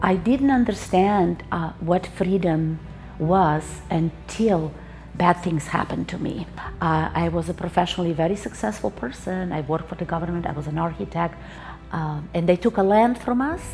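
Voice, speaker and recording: A woman speaks at a moderate pace in a fairly low pitch, with noticeable background noise behind her. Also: lively intonation. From Slovenia. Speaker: former architect. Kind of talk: testimony.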